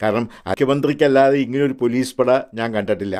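This is a man with a normal speaking voice at a medium pitch. His intonation stays fairly even. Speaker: political commentator. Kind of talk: opinion monologue.

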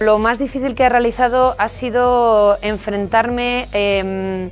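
Faint music plays in the background. A woman speaks with fairly even intonation. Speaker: radio journalist and presenter, university lecturer. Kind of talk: interview answer. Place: studio. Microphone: studio mic.

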